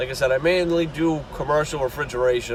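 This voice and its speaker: Amid noticeable background noise, a man speaks at a moderate pace with a strong Boston accent. His intonation is fairly even. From Boston area, Massachusetts. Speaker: refrigeration and HVAC technician. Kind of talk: casual channel intro talk.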